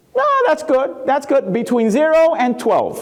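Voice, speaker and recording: A man with a Spanish accent, animated in tone, with very wide pitch swings at a moderate pace. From Puerto Rico. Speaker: keynote speaker. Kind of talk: keynote talk.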